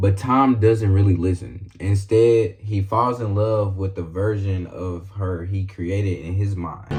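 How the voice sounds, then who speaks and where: Music plays in the background as a man with a fairly low pitch speaks at a fairly slow pace with fairly even intonation. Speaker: YouTuber. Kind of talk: video essay narration. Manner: casual.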